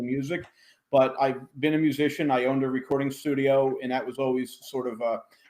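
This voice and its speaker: This man speaks with an American accent. His pace is fairly quick. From New Jersey shore, US. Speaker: audio company technical engineer. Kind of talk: interview conversation.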